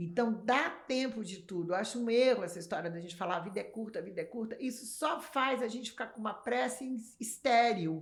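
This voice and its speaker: A woman's fairly high voice, fairly quick and lively, with hardly any pauses. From Brazil (São Paulo, Rio family). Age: 60s. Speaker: magazine editor and artist. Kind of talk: casual interview chat. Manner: animated.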